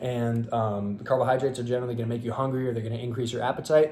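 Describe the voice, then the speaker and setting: At a very fast pace, a man talks in a dark, mellow tone at medium pitch, sounding somewhat breathy. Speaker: fitness youtuber and bodybuilder. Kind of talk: casual monologue to camera. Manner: hesitant, many fillers.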